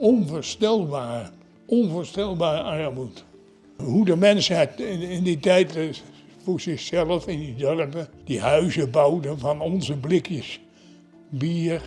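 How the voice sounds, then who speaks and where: Over music in the background, a man with a fairly high pitch speaks very slowly with ordinary pitch variation. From Netherlands. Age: 90s. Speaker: war veteran. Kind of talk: interview. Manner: halting.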